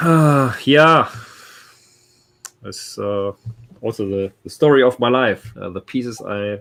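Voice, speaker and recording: At a very slow pace with long, frequent pauses, a man with a German accent speaks at a medium pitch, his loudness swinging widely and his pitch varying in an ordinary way. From Germany. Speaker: comic art collector. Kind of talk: casual chat. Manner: halting.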